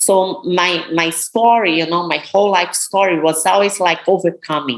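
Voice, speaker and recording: A woman speaks in a Brazilian Portuguese accent at a moderate pace, her pitch fairly low. Her pitch varies in an ordinary way, and there is noticeable background noise. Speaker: professional bodybuilder. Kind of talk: interview.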